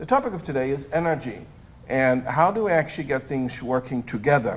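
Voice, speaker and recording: Talking at a fairly quick pace, a man uses an unremarkable speaking voice with lively intonation. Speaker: smart city technology expert, panel speaker. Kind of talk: conference presentation.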